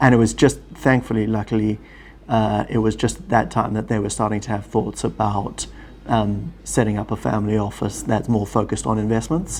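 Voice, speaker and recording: A man with a South African accent speaks at a fairly quick pace, with a fairly low pitch and fairly even intonation. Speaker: family office executive, former lawyer. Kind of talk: interview.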